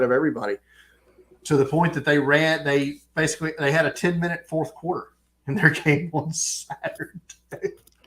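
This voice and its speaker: A man talks in a strong Southern American accent. His pace is moderate, with ordinary pitch variation. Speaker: podcast co-host. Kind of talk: casual chat.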